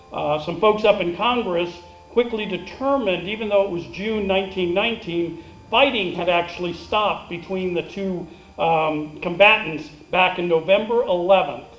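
A man's high-pitched voice at a fairly slow pace, with ordinary pitch variation and audible room echo. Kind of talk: ceremony speech. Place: stage.

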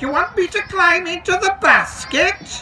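Extremely high and put on as a character voice, the speech moves at a moderate pace over clear background noise. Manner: anxious, incredulous.

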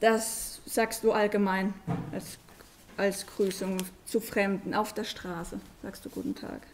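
Over light background noise, a woman speaks at a very slow pace in a monotone, flat intonation, with big swings in loudness and long, frequent pauses. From Germany. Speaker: foreign guest speaker, parent; guest. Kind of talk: presentation to schoolchildren. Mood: friendly, relaxed. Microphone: podium.

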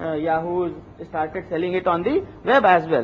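There is light background noise as a man talks in a high pitch. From India. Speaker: internet company founder and CEO. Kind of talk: conference talk. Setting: stage with audience. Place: hall. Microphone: podium.

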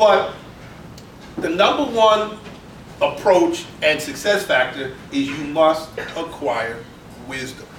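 An animated man's voice with audible room echo and light background noise. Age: 50s. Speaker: business founder and wealth speaker; speaker. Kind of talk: live interview before an audience. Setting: stage with audience at a business club.

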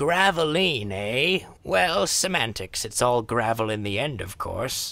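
A man puts on a character voice at medium pitch, with a bright, sharp tone and vocal fry. He speaks at a slow pace with lively intonation.

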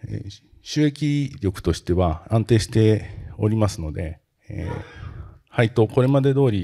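Over a quiet background, a man speaks fairly slowly in a fairly low, somewhat breathy voice with a dark, mellow tone. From Japan, Kanagawa (Tanzawa area); Kanagawa. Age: 50s. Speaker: company president; presenter. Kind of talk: investor presentation. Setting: seminar stage with audience. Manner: formal; frequent hesitation fillers. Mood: polite formal, calm. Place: hall. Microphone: handheld.

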